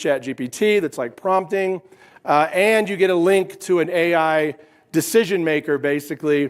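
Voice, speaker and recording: On a very clean recording with a silent background, a man with an American accent sounds energetic, high-pitched, at a moderate pace with ordinary pitch variation. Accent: Appalachian, noted by listeners. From West Virginia. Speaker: keynote speaker and company founder. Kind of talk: conference keynote. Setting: stage with audience.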